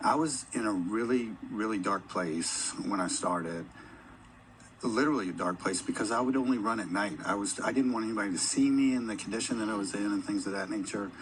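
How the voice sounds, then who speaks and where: Audible room echo surrounds a man with a fairly low voice who talks at a fairly quick pace with ordinary pitch variation. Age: 50s. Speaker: corporate employee and endurance athlete. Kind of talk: on-stage interview.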